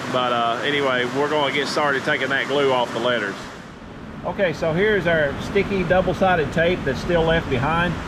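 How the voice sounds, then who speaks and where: A man's fairly high voice at a fairly quick pace, with ordinary pitch variation and very even loudness, plus audible room echo and noticeable background noise. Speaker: DIY video maker. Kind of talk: tutorial. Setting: metal building workshop.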